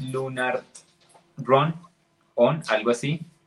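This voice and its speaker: A man with a medium pitch talks while music plays in the background. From Colombia, Neiva. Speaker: podcast co-host. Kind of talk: casual chat.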